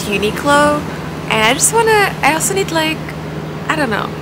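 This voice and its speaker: Loud background noise surrounds a woman speaking at a fairly high pitch. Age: 20s. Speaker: Twitch streamer. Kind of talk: casual vlog talk to camera. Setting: outdoors, street noise. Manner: soft-spoken.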